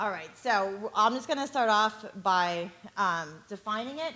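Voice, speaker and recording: With lively intonation, a woman with an ordinary speaking voice talks at a medium pitch. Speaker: tutor. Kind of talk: talk to parents at a community session.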